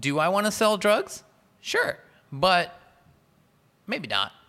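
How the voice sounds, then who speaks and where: Very slow and marked by long, frequent pauses, a man with an American accent speaks in a bright, sharp tone with lively intonation. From Southern California (San Diego area). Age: 30s. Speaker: solar company owner and electrician. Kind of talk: casual chat.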